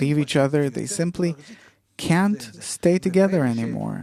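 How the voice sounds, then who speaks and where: A man speaks at a moderate pace in a fairly high pitch, with a dark, mellow tone and ordinary pitch variation. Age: 70s. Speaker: kabbalist teacher. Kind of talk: talk show discussion.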